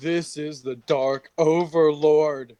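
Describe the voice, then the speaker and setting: In a put-on character voice, the speaker holds a middle pitch with monotone, flat intonation. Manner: menacing.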